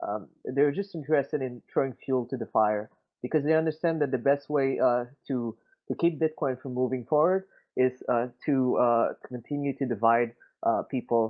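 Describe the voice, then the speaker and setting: A man with a Quebec accent speaks at a moderate pace in a medium-pitched voice with ordinary pitch variation. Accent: Quebecois French-accented English. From Quebec City, Canada. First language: French. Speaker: crypto community member. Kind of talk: casual discussion. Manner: halting, many fillers.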